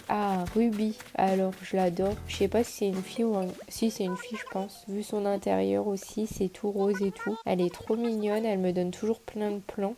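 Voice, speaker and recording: A woman's medium-pitched voice with monotone, flat intonation, a moderate pace and hardly any pauses, over noticeable background noise. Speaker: YouTuber. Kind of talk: gameplay commentary. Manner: casual.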